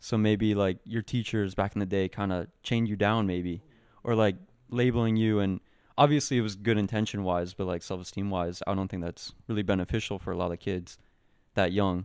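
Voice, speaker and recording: A man's fairly low voice, an unremarkable speaking voice, fairly even in intonation and fairly quick, on a very clean recording with a silent background. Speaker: podcast host. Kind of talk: casual interview chat.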